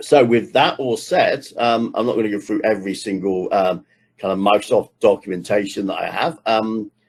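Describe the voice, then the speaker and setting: An ordinary speaking voice comes through at a moderate pace with ordinary pitch variation. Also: man, medium pitch for a man. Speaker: technical trainer. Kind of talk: online workshop lecture.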